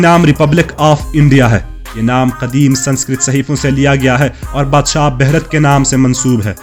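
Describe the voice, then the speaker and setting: A man's fairly high voice is heard against background music. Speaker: documentary voice-over narrator. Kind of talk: travel documentary narration.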